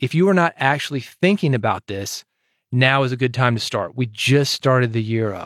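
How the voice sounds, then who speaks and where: A man with an American accent at medium pitch and moderate pace, ordinary pitch variation, a dry, close sound with no echo, and a very clean recording with a silent background. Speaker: podcast host and podcasting consultant. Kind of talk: solo podcast commentary. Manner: animated.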